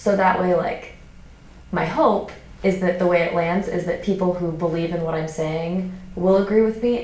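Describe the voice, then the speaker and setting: Noticeable background noise behind a woman with a fairly low-pitched voice. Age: 20s. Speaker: stand-up comedian. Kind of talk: interview answer. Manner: casual, conversational.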